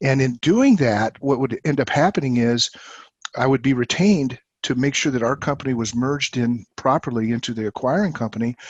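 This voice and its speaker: A man's normal speaking voice at medium pitch, fairly quick in pace with ordinary pitch variation, dry and close with no echo over a quiet background. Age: 60s. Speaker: company CEO. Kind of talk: interview.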